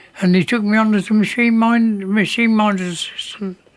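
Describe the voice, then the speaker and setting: At a moderate pace, a man speaks with a high pitch. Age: 80s+. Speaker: former print worker. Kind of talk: interview testimony.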